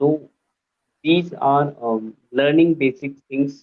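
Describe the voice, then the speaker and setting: A man is speaking. His intonation is fairly even. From northern India. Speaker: English learner. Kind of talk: casual chat. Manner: halting.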